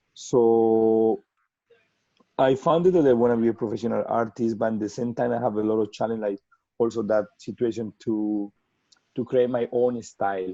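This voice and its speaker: Man's medium-pitched voice in a Spanish accent, dark and mellow, with fairly even intonation. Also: moderate pace. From Colombia. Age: 30s. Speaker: portrait artist. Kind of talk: webinar interview. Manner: halting, many repetitions and fillers.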